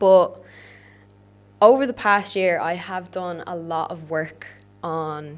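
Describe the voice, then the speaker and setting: A woman speaks very slowly in an Irish accent. Her pitch is fairly low, with ordinary variation. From Ireland. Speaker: podcast host, fitness coach. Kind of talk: solo podcast monologue. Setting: podcast studio. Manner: animated.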